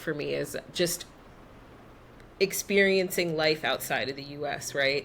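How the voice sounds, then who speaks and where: A woman in a New York accent speaks with a bright, sharp tone at a fairly low pitch and ordinary pitch variation. The recording is very clean, with a silent background. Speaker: expat, travel guest. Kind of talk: casual interview chat.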